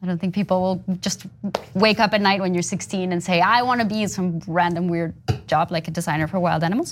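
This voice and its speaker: Music runs in the background while a woman talks. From Colombia, Bogota. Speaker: conservation designer. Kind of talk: interview. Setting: studio.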